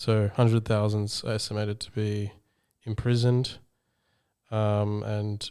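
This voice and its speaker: In an Australian accent, a man talks in a monotone with a dark, mellow tone and a fairly low pitch, on a very clean recording with a silent background. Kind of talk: podcast host, casual talk.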